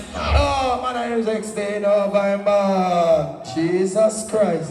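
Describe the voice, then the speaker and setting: A high-pitched male voice with an animated tone and ordinary pitch variation, amid noticeable background noise and audible room echo. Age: 70s. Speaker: sound system selector. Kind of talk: live dancehall MC talk. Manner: animated, shouting over music.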